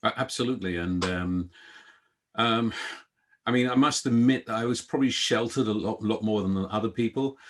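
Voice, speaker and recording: Pitched fairly low, a man speaks with ordinary pitch variation and a slight British accent. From London, England (born in Guyana). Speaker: events industry executive. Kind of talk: interview.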